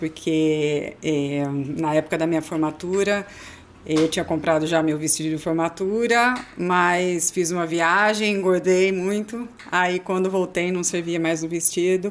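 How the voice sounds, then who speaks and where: A woman with a plain, everyday voice speaks at a fairly low pitch and fairly slow pace, her intonation fairly even. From Americana, São Paulo state, Brazil. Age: 40s. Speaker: amateur marathon runner. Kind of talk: podcast interview.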